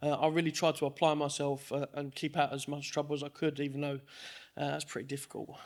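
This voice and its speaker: Very fast, monotone speech with flat intonation on a very clean recording over a silent background. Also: man, fairly high pitch for a man. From Dagenham, east London. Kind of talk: testimony. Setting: church service with congregation.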